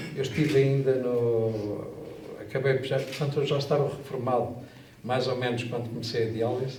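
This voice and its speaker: With noticeable background noise and audible room echo, a man talks at a moderate pace in a monotone, flat intonation. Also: medium pitch for a man. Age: 60s. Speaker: kidney dialysis patient. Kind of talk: testimony. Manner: halting.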